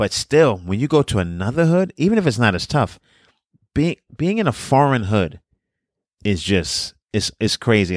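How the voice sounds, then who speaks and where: A man with a New York accent and lively intonation, in a dry, close sound with no echo and a very clean recording over a silent background. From Brooklyn, New York. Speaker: comedian and podcast co-host. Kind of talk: casual chat.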